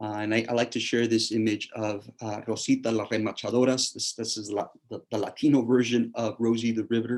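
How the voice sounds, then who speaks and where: Talking in a South Texas accent, a man at medium pitch moves at a fairly quick pace with hardly any pauses and monotone, flat intonation. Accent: South Texas American English. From South Texas, Rio Grande Valley. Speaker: history professor. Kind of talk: lecture.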